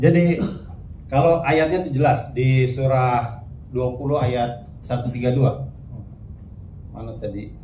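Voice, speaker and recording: The voice moves at a very slow pace with long, frequent pauses. Its pitch varies in an ordinary way, and room echo is audible. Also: man, medium pitch for a man. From South Sulawesi, Bugis. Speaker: Islamic preacher and speaker. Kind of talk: religious talk with Q&A.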